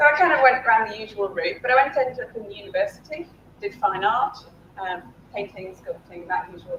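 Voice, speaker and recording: A woman with a British accent talks at a fairly quick pace in a high voice, with very wide pitch swings and big swings in loudness over noticeable background noise. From UK. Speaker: game design academic, keynote speaker. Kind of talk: keynote talk.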